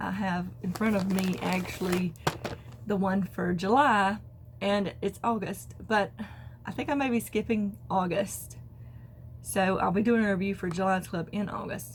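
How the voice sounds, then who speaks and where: At a fairly slow pace, a woman talks in an unremarkable speaking voice of medium pitch with ordinary pitch variation. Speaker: crafting podcaster. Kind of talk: casual talk to camera.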